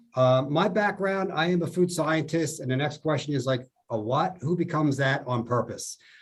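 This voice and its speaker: With a New Jersey accent, a man speaks in a fairly high, somewhat breathy voice. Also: ordinary pitch variation, moderate pace. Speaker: food scientist. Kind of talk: podcast interview.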